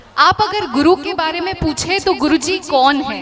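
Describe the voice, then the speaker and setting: Against music in the background, a woman speaks with a Bengali accent and ordinary pitch variation. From Maharashtra, Pune. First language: Bengali (speaking Hindi). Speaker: English professor. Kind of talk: stage speech. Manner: formal.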